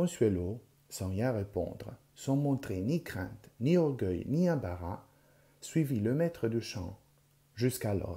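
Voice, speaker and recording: A dark, mellow, somewhat breathy voice moves at a very slow pace with very wide pitch swings and long, frequent pauses. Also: man. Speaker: audiobook reader, library volunteer. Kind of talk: literary audiobook reading of a French novel chapter, with Italian intro and outro. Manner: measured, expressive storytelling pace; shifts tone to voice characters: pompous old teacher, chirpy girls.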